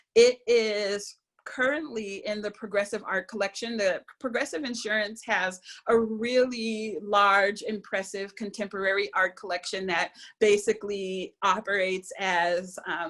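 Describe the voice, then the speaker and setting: Both pace and pitch variation here are moderate and ordinary. It is an ordinary speaking voice. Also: woman. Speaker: visual and performance artist. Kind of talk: lecture. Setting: video call.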